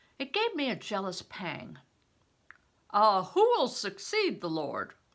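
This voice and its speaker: A woman projects a raised voice with a bright, sharp tone. Her pitch swings very widely. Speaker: retired reading teacher. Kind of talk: children's novel read-aloud.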